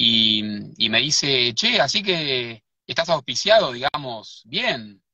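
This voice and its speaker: A man with an Argentine accent. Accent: Rioplatense Argentine Spanish. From Buenos Aires, Argentina. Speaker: writer and researcher. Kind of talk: live interview. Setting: in a car.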